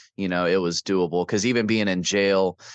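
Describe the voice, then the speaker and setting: A man with a Midwestern American accent, very deep and low in pitch, monotone and flat, at a moderate pace. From Davenport, Iowa. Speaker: army veteran. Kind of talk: interview answer. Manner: casual, candid, with humor.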